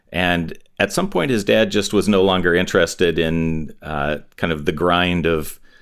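In a very clean recording with a silent background, a man with an American accent and a very deep, low pitch speaks at a fairly slow pace with fairly even intonation. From Southern California (Hawthorne). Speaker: record label owner. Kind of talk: interview.

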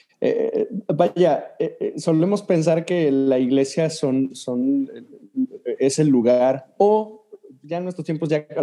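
The man's voice has a dark, mellow tone. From Mexico. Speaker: Methodist church leader. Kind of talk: casual chat.

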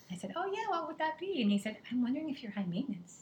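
A woman speaks with lively intonation. Noticeable background noise sits behind her voice. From England, moved to San Diego at 11. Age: 50s. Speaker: health coach. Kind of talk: casual chat.

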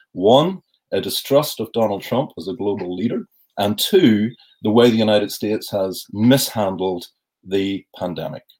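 A man with a plain, everyday voice speaks at a moderate pace, his fairly low pitch showing ordinary variation. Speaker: university professor. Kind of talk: interview.

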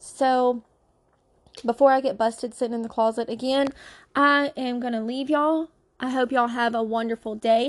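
Over a quiet background, a woman with a Louisiana accent speaks in a high pitch at a moderate pace, her tone animated. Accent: Southern US (Louisiana). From Louisiana, US South. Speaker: podcast host. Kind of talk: casual chat. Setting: sitting in a closet.

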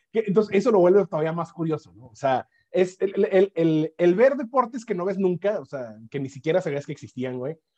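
This man has a high pitch, a dark, mellow tone and lively intonation, with big swings in loudness. He talks at a fairly quick pace with hardly any pauses, in a dry, close sound with no echo. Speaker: podcast co-host. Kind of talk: casual chat.

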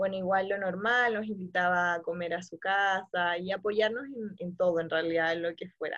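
A woman with a plain, everyday voice talks at a moderate pace with hardly any pauses. Her pitch is medium and her intonation fairly even. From Santiago, Chile. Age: 20s. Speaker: returned missionary. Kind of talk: testimony.

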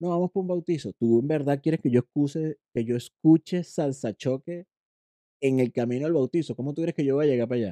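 At a fairly quick pace, a man with a fairly high pitch and dark, mellow tone uses ordinary pitch variation in a dry, close sound with no echo. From Venezuela, eastern region (Puerto La Cruz). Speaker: podcast co-host. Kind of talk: casual chat.

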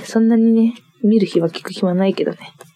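At a moderate pace, a woman talks with noticeable noise behind her. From Niigata, Japan. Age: 20s. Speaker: podcast co-host. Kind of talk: solo casual chat. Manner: giggly, frequent laughter.

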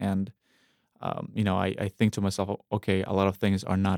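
In a Russian accent, a man talks in a flat monotone at a fairly low pitch, the sound dry and close with no echo. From Russia, North Caucasus. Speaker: independent filmmaker. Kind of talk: interview. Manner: halting, many repetitions.

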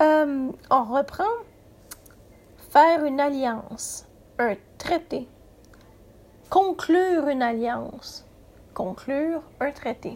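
A woman's high-pitched voice at a very slow pace, with lively intonation and long, frequent pauses. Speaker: podcast host, writing workshop leader. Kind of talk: writing workshop tutorial. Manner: halting, frequent hesitations and repeats; somewhat read-aloud delivery.

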